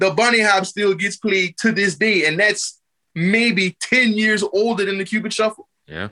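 Speaking with an American accent, a man uses a raised, projected voice that is high-pitched for a man, with a bright, sharp tone, fairly even intonation, a moderate pace and a dry, close sound with no echo. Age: 40s. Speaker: music producer. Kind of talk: casual chat.

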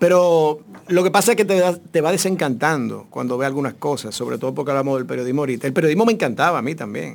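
A man's voice, a normal speaking voice, fairly high-pitched, with lively intonation and hardly any pauses. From Dominican Republic, Santo Domingo. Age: 50s. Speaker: actor. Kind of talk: casual chat.

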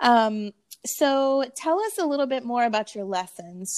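A woman with an ordinary speaking voice and ordinary pitch variation talks at a fairly slow pace in a very clean recording with a silent background. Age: 30s. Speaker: podcast host, art teacher. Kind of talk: casual interview.

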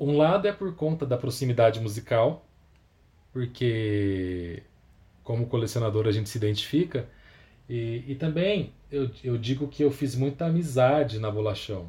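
A somewhat breathy man's voice with a dark, mellow tone, lively intonation and a fairly slow pace. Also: medium pitch for a man. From Campinas, interior of São Paulo state, Brazil. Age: 30s. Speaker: record label founder and vinyl collector. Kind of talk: podcast interview.

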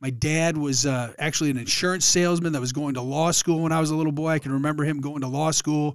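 The recording is very clean with a silent background as a man with a fairly high pitch speaks at a fairly quick pace with fairly even intonation. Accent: Michigan. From Detroit area, Michigan. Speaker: former college football player, charity founder. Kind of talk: casual interview. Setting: podcast studio.

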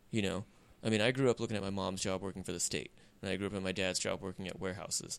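Very fast and very deep, a man's low-pitched voice races along. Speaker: podcast co-host. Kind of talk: casual banter podcast. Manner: monotone.

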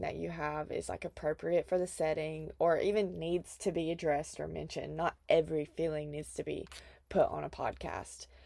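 Speaking at a fairly quick pace with a Southern US accent, a woman is heard in a very clean recording with a silent background. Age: 20s. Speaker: podcast host. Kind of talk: casual monologue. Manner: animated.

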